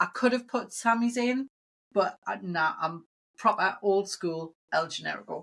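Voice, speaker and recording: With a British accent, the speaker goes at a fairly slow pace, using ordinary pitch variation. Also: woman. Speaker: comic convention promoter. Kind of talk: casual chat.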